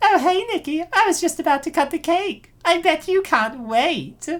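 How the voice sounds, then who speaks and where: This is a put-on character voice. It sounds squeaky, at an extremely high pitch. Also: moderate pace. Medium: fan dub. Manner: sugary, faux-friendly.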